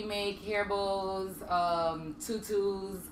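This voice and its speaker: A woman speaks at a medium pitch with a Virgin Islands accent. The room echo is audible. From US Virgin Islands. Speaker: military wife and home business owner. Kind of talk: casual talk show chat. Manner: hesitant, many ums.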